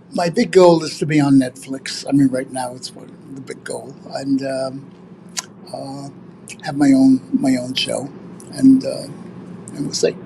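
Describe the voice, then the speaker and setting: The speech moves at a fairly slow pace with long, frequent pauses. Noticeable background noise is present. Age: 80s+. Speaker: stand-up comedian. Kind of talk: interview. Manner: halting, many fillers.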